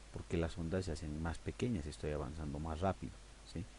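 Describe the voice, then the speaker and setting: A man speaks in a very deep, low voice with vocal fry. His tone is dark and mellow. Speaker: audio editing teacher. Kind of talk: tutorial. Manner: conversational, hesitant fillers.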